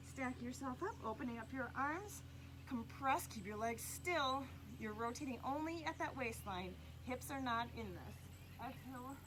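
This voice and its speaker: A woman at a moderate pace, with audible room echo. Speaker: pilates instructor. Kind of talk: exercise class instruction. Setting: outdoors on a farm.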